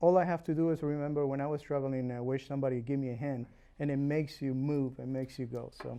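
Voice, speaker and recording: With a Uruguayan accent, a man talks very fast at a fairly high pitch, keeping his intonation fairly even. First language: Spanish. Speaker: realtor and home inspector. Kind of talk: interview. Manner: hesitant, many fillers.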